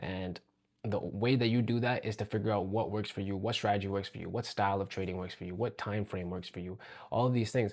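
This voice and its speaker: The recording is very clean with a silent background. A man speaks very fast at a fairly low pitch with fairly even intonation. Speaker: day trader vlogger. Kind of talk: casual vlog commentary. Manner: monotone; halting, with fillers.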